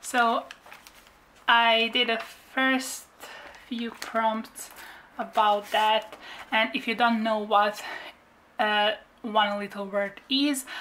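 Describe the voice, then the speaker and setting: Bright and sharp in tone, a woman with a fairly high pitch speaks very slowly in a monotone, flat way, leaving long, frequent pauses. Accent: non-native. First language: not English. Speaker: craft YouTuber. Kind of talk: craft flip-through tutorial. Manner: halting, with fillers.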